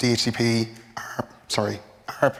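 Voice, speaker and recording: A man speaks with a medium-pitched voice. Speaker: network architect. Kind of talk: conference presentation.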